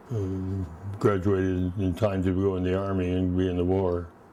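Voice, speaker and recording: Very deep and low, a man's dark, mellow voice moves at a fairly slow pace in a flat monotone with a Pacific Northwest accent. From Washington State, Olympia. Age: 90s. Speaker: retired architect. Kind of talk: oral history interview. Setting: at home. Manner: halting.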